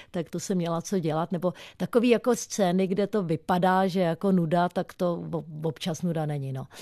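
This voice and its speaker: A woman's dark, mellow tone, dry and close with no echo, against a quiet background. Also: fairly low pitch for a woman, ordinary pitch variation, moderate pace. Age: 50s. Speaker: stuntwoman. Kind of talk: radio interview. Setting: radio studio.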